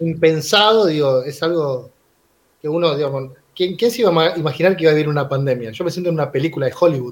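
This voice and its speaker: A man speaks very fast in a fairly high voice, his pitch moving up and down in an ordinary way. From Buenos Aires suburbs, Argentina. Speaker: teacher and union activist. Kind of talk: casual chat. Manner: halting, repeats words.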